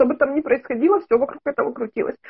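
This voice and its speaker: A woman's voice against a quiet background. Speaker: caller seeking consultation; caller. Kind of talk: interview answer. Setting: video call. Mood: earnest, personal story. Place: home room. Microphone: video call.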